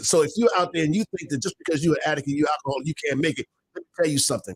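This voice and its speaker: A man's fairly high voice, dry and close with no echo. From Baltimore. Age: 70s. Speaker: minister and recovery radio broadcaster. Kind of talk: casual talk show interview with testimony. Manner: halting, many repeats and fillers.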